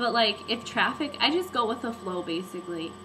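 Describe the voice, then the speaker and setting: There is noticeable background noise. A woman talks through it. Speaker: vlogger. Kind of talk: casual vlog chat. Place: home room. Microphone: webcam.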